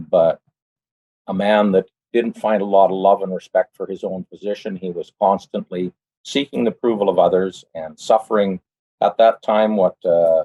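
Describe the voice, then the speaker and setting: A man at a moderate pace with a western Canadian accent. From western Canada (British Columbia). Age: 60s. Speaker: church member giving testimony. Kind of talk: personal testimony. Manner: hesitant, many fillers.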